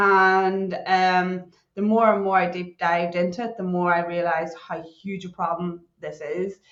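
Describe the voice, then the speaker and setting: Speaking in a Northern Irish accent, a woman of medium pitch keeps a fairly slow pace with hardly any pauses. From Northern Ireland. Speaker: cybersecurity consultant. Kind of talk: podcast interview. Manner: animated.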